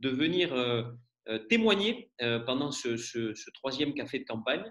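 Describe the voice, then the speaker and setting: Moving slowly along at a medium pitch, a man lets his voice swing very widely up and down. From rural France. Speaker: event moderator. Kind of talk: introduction speech. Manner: hesitant, many fillers.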